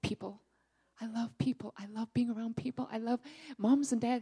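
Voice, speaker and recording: Speaking at a very fast pace, a woman with a fairly high pitch and a dark, mellow tone sounds somewhat breathy in a dry, close recording with no echo. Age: 40s. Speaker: church member giving testimony. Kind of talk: testimony. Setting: church service.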